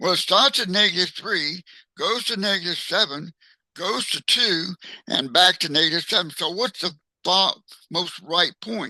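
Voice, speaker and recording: A man speaks at a high pitch in a bright, sharp tone with ordinary pitch variation. The background is quiet. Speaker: math teacher. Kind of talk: tutorial. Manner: slow; halting.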